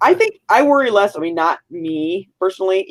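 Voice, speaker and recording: With lively intonation and a medium pitch, a woman talks at a moderate pace in a dry, close sound with no echo. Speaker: podcast co-host.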